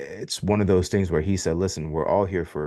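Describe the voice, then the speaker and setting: With an American accent, a man speaks with ordinary pitch variation against a quiet background. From Miami, Florida. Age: 40s. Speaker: podcast host. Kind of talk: interview.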